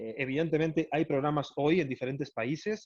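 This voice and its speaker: A man speaks at a fairly high pitch and a fairly quick pace. The sound is dry and close with no echo, and the background is quiet. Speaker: airline executive. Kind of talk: lecture. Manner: fast.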